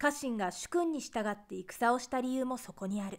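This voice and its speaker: The delivery is fairly slow, captured in a very clean recording with a silent background. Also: woman. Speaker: narrator. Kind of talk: essay reading.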